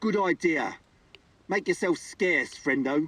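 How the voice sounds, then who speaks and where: Putting on a gruff character voice, a man speaks at a high pitch with ordinary pitch variation and a fairly slow pace. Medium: video game. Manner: gruff, rude.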